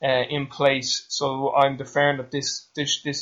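A man speaks with an Irish accent. His pitch is fairly high. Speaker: podcast host, strength coach. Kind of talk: interview. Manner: fast.

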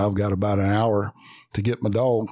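Speaking with a Southern US accent, a man uses a dark, mellow tone at fairly low pitch, with fairly even intonation at a moderate pace. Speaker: coon hunter, co-host. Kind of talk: casual chat.

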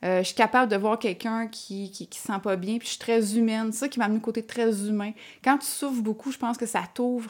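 In a very clean recording with a silent background, a woman with an ordinary speaking voice talks fairly quickly at a fairly high pitch, her intonation fairly even but her loudness swinging widely. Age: 30s. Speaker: entrepreneur. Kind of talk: casual interview.

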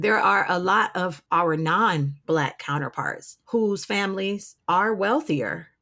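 With an American accent, a woman with a medium-pitched voice talks very slowly in vocal fry, her intonation lively and hardly any pauses between words. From Detroit, Michigan, US. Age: 30s. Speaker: opera singer. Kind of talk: interview conversation. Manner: loud.

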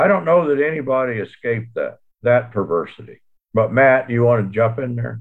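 In a normal speaking voice, a man with an American accent talks at a fairly quick pace, his medium pitch showing ordinary pitch variation. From US Southwest (New Mexico, Texas). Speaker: theologian and author. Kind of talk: academic discussion.

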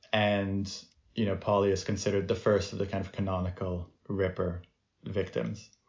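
His somewhat breathy voice, fairly low for a man, moves at a moderate pace. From France. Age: 30s. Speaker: author and film producer. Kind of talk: interview conversation.

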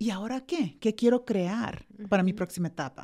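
A woman's dark, mellow tone at a fairly high pitch, lively in intonation, at a moderate pace. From El Salvador. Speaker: educator and life coach. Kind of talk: interview.

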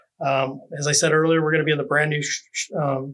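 Here is a man with an American accent and a plain, everyday voice. His pitch is fairly high and his intonation fairly even. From Oregon, US. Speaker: wine festival director. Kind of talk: interview.

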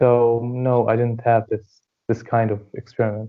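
A man at a fairly slow pace with monotone, flat intonation. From Syria, Hama region. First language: Arabic. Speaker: dentistry student. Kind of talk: interview. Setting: remote call.

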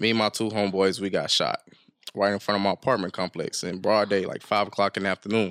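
A man in a normal speaking voice, fairly low-pitched, at a fairly quick pace with fairly even intonation, in a dry, close sound with no echo. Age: 20s. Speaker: rapper. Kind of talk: casual chat.

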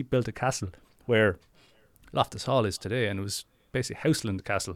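A man with a southeast Irish accent, fairly low pitch, fairly even intonation and a very fast pace, in a dry, close sound with no echo. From Ireland; Wexford, southeast Ireland. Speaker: ghost story teller, local guide. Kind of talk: casual chat, storytelling. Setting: remote call, recorded. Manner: fast talker.

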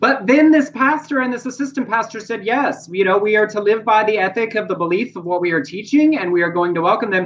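A man talks with a Southern US accent. His tone is animated and his intonation lively. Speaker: podcast host. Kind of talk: casual chat. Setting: video livestream.

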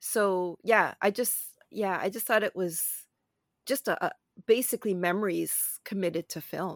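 In a very clean recording with a silent background and a dry, close sound with no echo, a woman with a Canadian accent speaks in a normal speaking voice at medium pitch, with ordinary pitch variation and a fairly slow pace. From Canada, Toronto. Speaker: film critic and podcast co-host. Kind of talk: casual chat.

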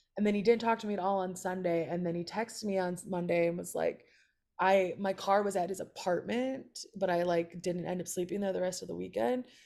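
A woman with an American accent has an ordinary speaking voice, talking at a fairly quick pace in a medium pitch with fairly even intonation. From Chicago area, US. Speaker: comedian. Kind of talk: casual chat.

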